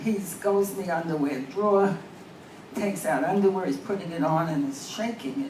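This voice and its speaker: Over noticeable background noise and audible room echo, a woman with a fairly low pitch speaks at a moderate pace with lively intonation. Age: 80s+. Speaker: amateur comedian. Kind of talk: stand-up.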